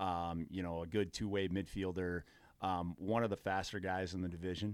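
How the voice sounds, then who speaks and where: A man talks in a very deep, low voice with monotone, flat intonation. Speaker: lacrosse coach and athletic director. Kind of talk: casual chat.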